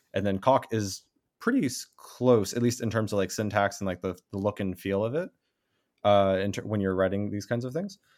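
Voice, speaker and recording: In a very clean recording with a silent background, a man talks at a moderate pace with fairly even intonation and a fairly low pitch, in a plain, everyday voice. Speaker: graduate student researcher. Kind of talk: casual conversation.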